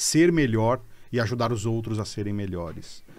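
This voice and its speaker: His pitch is medium. The man talks at a moderate speed. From Brazil, São Bernardo do Campo (São Paulo). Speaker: HR executive. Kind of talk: casual interview chat.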